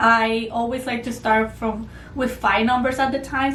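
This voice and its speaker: Audible room echo surrounds a woman speaking at a moderate pace in a fairly high voice. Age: 20s. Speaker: homeschooling mother and former teacher. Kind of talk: tutorial.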